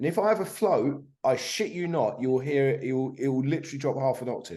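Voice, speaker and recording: A man's dark, mellow tone at a fairly high pitch with lively intonation. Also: fairly quick pace. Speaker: guest recounting addiction recovery. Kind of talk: casual chat. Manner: fast, repetitive with restarts.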